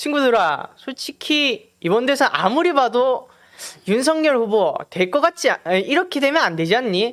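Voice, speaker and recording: An extremely high-pitched man speaks at a fairly slow pace with very wide pitch swings and very even loudness, on a very clean recording with a silent background. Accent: strong Gyeongsang. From Gyeongju, North Gyeongsang, South Korea. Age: 18. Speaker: youth political campaigner. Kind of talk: political appeal to peers.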